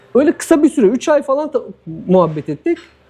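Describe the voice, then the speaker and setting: A man talks very fast, his pitch swinging very widely. Noticeable background noise sits behind him. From Turkey, Diyarbakır. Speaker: former footballer living abroad. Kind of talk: casual interview.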